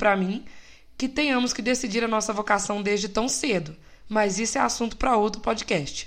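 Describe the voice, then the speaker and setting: Speaking at a moderate pace, a woman has a fairly high pitch. She has a slight Minas Gerais accent. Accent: slight Minas Gerais Brazilian. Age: 20s. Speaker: podcast host, civil engineer. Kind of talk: personal reflective monologue. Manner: casual, light and relaxed.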